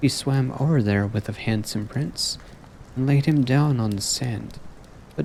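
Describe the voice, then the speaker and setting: A soft-spoken man talks at a fairly slow pace with a gentle tone. His intonation is lively. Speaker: VTuber streamer. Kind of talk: softly spoken story reading. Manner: soft-spoken, gentle.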